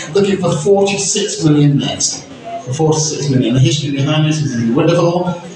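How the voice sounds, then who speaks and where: There is noticeable background noise and strong room echo. A man with a fairly high pitch speaks at a moderate pace with ordinary pitch variation. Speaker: auctioneer. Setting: auction room with live audience plus phone and online bidders. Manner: playful suspense-building, teasing the room before the hammer. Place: hall.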